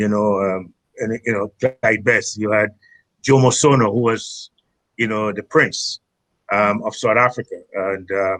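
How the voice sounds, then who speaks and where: Speaking with a Trinidadian accent, a man uses a fairly low pitch and fairly even intonation. He leaves long, frequent pauses, and the sound is dry and close with no echo. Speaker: former footballer, tournament founder. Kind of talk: podcast interview. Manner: halting, many fillers.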